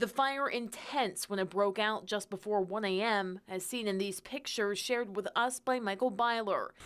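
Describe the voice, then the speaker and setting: A plain, everyday voice with ordinary pitch variation at a moderate pace. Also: woman. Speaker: news anchor. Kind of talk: TV news anchor read.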